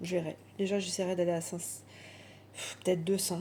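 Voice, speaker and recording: With noticeable background noise, a woman speaks at medium pitch and a moderate pace. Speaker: budgeting vlogger. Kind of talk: casual monologue vlog.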